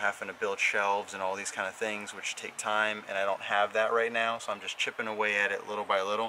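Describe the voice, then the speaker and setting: A man's very fast, flat monotone voice at a fairly low pitch, over light background noise. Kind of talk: casual vlog chat. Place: street. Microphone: phone near.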